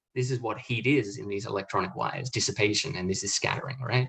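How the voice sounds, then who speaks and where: A man with an Australian accent talking at a very fast pace, somewhat breathy, over a quiet background. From Australia, small country town. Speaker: physics professor. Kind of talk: lecture. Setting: webinar. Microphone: video call.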